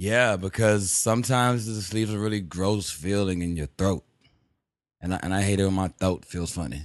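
Here is a man with an unremarkable speaking voice, fairly low in pitch, with ordinary pitch variation. He talks at a fairly quick pace over a quiet background. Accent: American. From Texas, Houston. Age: 20s. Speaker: rapper. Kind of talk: casual chat.

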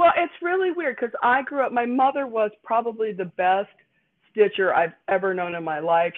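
A woman speaks with a Chicago accent. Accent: Midwestern American (Chicago area). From northern Indiana, near Chicago (Gary area). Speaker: costume designer and university teacher. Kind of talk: casual interview. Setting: remote call from her dining room.

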